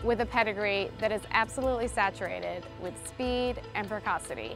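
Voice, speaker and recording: A woman speaks in a dry recording with no echo while music plays clearly in the background. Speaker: stallion sales manager. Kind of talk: interview answer. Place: open country. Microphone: lapel.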